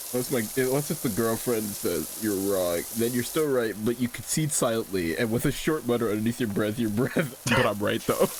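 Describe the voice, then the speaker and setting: Over noticeable background noise, a man talks at a moderate pace with ordinary pitch variation. His loudness stays very even, with hardly any pauses. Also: medium pitch for a man. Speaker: streamer. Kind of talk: casual chat. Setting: live stream. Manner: contained.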